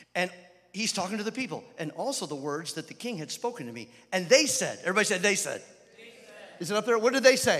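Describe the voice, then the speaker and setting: A man speaks very fast in a high, animated, warm voice with lively intonation and big swings in loudness. Background noise is noticeable. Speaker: guest preacher. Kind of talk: sermon to a live congregation. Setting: church with audience. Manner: animated, call-and-response, urgent; warm, humorous, exhorting.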